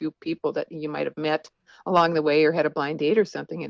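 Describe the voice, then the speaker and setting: A woman with a normal speaking voice speaks at a fairly low pitch with fairly even intonation. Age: 60s. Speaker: author. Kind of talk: interview.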